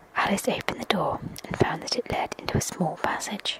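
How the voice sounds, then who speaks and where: Fairly quick whispering over noticeable background noise. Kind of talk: whispered ASMR story reading. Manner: whispered.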